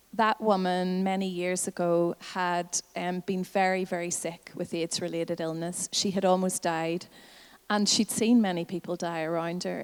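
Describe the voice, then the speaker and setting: A woman speaks at a fairly slow pace with a medium pitch and flat, monotone intonation. The recording is very clean with a silent background and a dry, close sound with no echo. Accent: Northern Irish. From Northern Ireland. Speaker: health advocacy campaigner. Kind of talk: conference talk.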